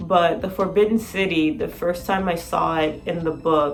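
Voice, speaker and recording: A woman at a fairly low pitch, moderate pace and ordinary pitch variation, amid audible room echo and noticeable background noise. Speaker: language-learning vlogger. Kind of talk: casual vlog. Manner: casual, filler-heavy.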